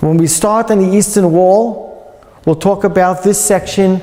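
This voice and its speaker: With a New York accent, a man speaks at a fairly slow pace and a high pitch, his loudness very even and his pitch variation ordinary. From US Northeast, New York; US Northeast. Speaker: museum guide. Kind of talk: guided tour talk. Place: hall. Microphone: lapel.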